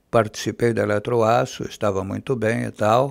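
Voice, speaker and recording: Against a quiet background, a man is talking. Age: 80s+. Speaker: former radio announcer and TV news presenter. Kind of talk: interview answer. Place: studio. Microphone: studio mic.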